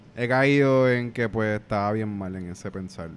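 Speaking in a Puerto Rican accent, a man with a fairly low pitch talks at a moderate pace. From Puerto Rico. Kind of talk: casual chat.

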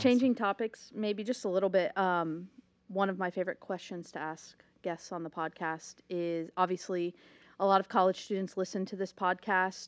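A woman's ordinary speaking voice with an American accent, medium in pitch, at a moderate pace with fairly even intonation, on a very clean recording with a silent background. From Ohio. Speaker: podcast co-host. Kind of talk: casual interview chat.

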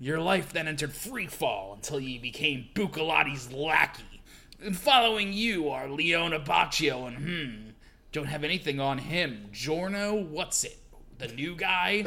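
A put-on character voice from a man, fairly high-pitched and smug in tone, at a moderate pace over clear background noise. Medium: read story. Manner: smug, taunting.

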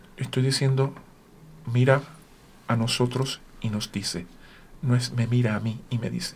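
Speaking at a fairly slow pace, a man uses fairly even intonation at a medium pitch and sounds somewhat breathy. He leaves long, frequent pauses. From Puerto Rico. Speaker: orchestra conductor and horn player. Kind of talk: radio interview. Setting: radio studio.

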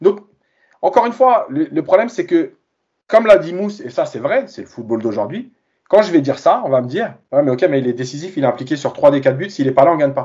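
The pace is very fast. Pitch swings very widely throughout. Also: man, fairly high pitch for a man. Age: 40s. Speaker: football coach and reporter. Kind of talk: casual chat.

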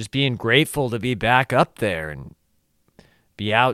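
On a very clean recording with a silent background, a man with a Southern California accent speaks at a fairly slow pace. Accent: Southern California local dialect. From Orange County, California. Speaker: podcast host and stand-up comedian. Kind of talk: casual solo podcast monologue. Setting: solo recording on camera.

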